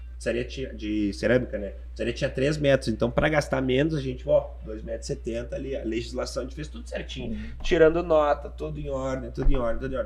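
Hardly pausing, a man speaks at a fairly quick pace. His loudness swings widely. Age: 20s. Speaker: pizzeria founder. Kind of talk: casual interview.

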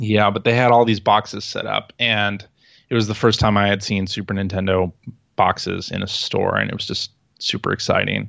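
A man with an American accent speaks at a moderate pace with vocal fry. His fairly low voice has a monotone, flat intonation. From Chicago, US Midwest. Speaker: video game podcaster and former magazine writer. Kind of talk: casual chat. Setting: remote call.

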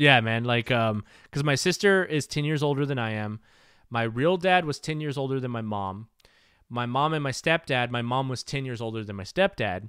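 A man with an American accent and a normal speaking voice talks at a moderate pace, medium in pitch with ordinary pitch variation, on a very clean recording with a silent background. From US South. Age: 30s. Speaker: podcast host. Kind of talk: casual chat.

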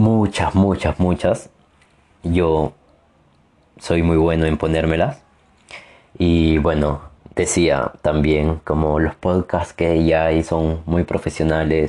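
The voice moves at a very slow pace with long, frequent pauses, a dark, mellow tone, monotone, flat intonation, and very even loudness. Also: man, very deep, low pitch for a man. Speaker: podcaster. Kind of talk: personal monologue. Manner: halting, many fillers.

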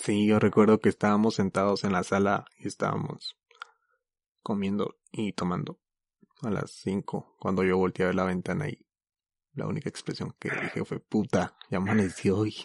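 A man's fairly low voice at a moderate pace, with ordinary pitch variation and a dry, close sound free of echo. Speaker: podcast host. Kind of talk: casual chat.

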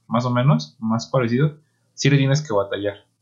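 A man talks at a fairly quick pace in a medium pitch, his tone dark, mellow and somewhat breathy. His intonation is lively. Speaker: podcast co-host. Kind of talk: casual chat.

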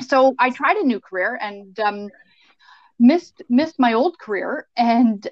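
A woman with a Canadian accent speaks at a fairly slow pace and fairly high pitch. Her voice is a normal speaking voice with lively intonation. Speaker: mortgage broker. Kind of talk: casual interview.

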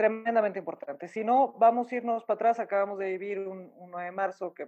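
A woman speaks at a fairly quick pace in a dark, mellow tone. Her pitch sits in the medium range, with ordinary variation. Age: 40s. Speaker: coffee business owner. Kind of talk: interview. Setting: remote call.

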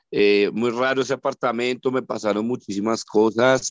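A man talks fairly slowly, his medium pitch carried by fairly even intonation. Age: 40s. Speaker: parapsychologist. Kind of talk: interview. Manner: halting.

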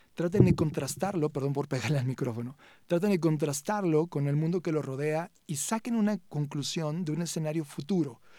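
With a dark, mellow tone and a fairly high pitch, a man speaks at a moderate pace with ordinary pitch variation. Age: 40s. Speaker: tech CEO and conference speaker. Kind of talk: interview.

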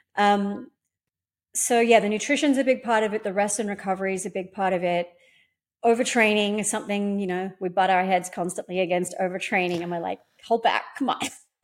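A woman with an Australian accent talks at a fairly quick pace with ordinary pitch variation on a very clean recording with a silent background. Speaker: pole dance instructor and competition winner. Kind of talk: casual interview.

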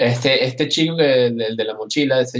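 With ordinary pitch variation, a man talks at medium pitch and a moderate pace. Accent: Caracas. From Venezuela, Caracas. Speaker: illustrator and animator. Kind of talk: interview. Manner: halting, many repetitions.

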